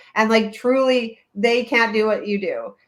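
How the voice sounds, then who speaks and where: This is an ordinary speaking voice from a woman. Her pitch is fairly high, with fairly even intonation. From Canada, Toronto area. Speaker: childbirth educator, webinar host. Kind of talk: live webinar.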